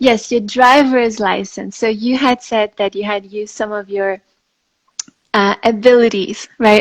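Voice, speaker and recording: With a French accent, a woman speaks at a fairly high pitch. Her pace is fairly slow and her intonation fairly even. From France and Greece. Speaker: interviewer, spiritual content creator. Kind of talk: live-stream interview. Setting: Instagram live video call. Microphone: phone speaker, old phone.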